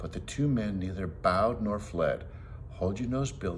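What comes through is plain reading aloud.

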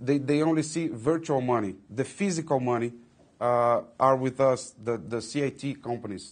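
In a Portuguese accent, a man speaks at a fairly slow pace with ordinary pitch variation. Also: medium pitch for a man, quiet background. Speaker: company executive. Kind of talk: interview. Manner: halting, many fillers and repetitions.

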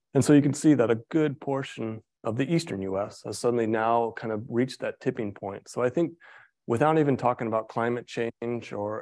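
A man talks at a moderate pace against a quiet background, in a normal speaking voice. His pitch is medium with ordinary pitch variation. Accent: American. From US Midwest. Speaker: forestry professor. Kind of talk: lecture. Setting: lecture hall with audience, also streamed on Zoom.

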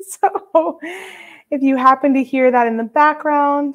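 The background stays quiet. Over it, a woman is talking. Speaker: beading instructor host. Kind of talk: casual livestream greeting. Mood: cheerful, laughing. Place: home room. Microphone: webcam.

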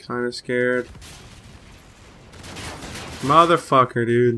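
A man speaks at a very slow pace in a medium pitch. His tone is bright and sharp, with ordinary pitch variation.

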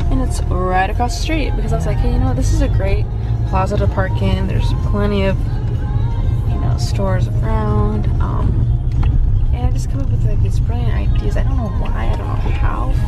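With clear music in the background, a woman speaks at a fairly quick pace in a dry sound with no echo. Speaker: vlogger riding along. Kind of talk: casual vlog chat. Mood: playful, boastful joking. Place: car. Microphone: phone near.

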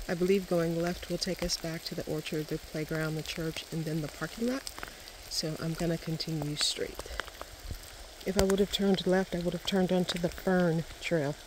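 Against noticeable background noise, a woman talks at a moderate pace at a fairly low pitch with fairly even intonation, and the sound is dry with no echo. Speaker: hiking vlogger. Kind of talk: walking vlog narration. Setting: outdoors on a forest trail. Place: forest. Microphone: phone near.

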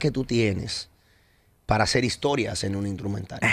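A man with a Dominican accent speaks, the sound dry with no echo. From Dominican Republic. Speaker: radio host. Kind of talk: interview. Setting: studio. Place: studio. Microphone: studio mic.

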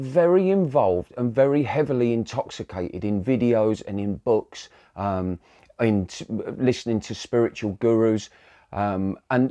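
The background stays quiet. A man talks at a fairly slow pace. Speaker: spiritual coach. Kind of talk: casual vlog talk. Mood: calm, reflective. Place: home room. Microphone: lapel.

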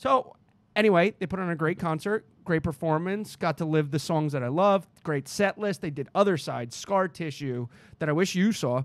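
With lively intonation and a high pitch, a man speaks at a moderate pace in a dry sound with no echo. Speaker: comedy podcast co-host. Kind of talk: casual chat. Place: home room. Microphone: studio mic.

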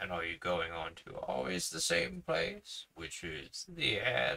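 A rumbling, put-on character voice from a man, at a fairly slow pace

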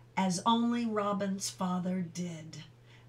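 This is plain reading aloud. The text is simply read out.

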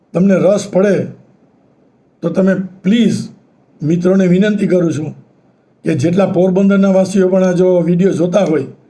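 Audible room echo surrounds a man's voice. It is high in pitch with a dark, mellow tone. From Saurashtra, Gujarat (Porbandar). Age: 70s. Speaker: retired engineer and YouTuber. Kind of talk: local history talk. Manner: halting.

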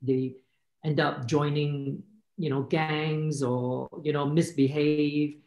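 A man's voice carries audible room echo over a quiet background. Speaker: filmmaker. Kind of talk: panel discussion. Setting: video call. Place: home room. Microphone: video call.

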